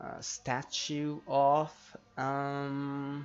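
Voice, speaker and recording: Music plays behind a man whose voice is fairly high in pitch. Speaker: gamer narrating gameplay. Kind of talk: gameplay commentary.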